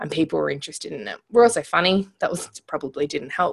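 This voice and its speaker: With an Australian accent, a woman talks fairly quickly in a medium pitch, her intonation lively. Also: very clean recording, silent background. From rural Australia. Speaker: entrepreneur. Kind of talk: interview.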